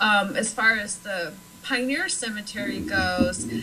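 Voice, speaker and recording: A woman with an American accent at a fairly high pitch and a fairly slow pace, amid audible room echo and noticeable background noise. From Nebraska, US Midwest. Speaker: paranormal author and cemetery tour guide. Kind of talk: talk show interview.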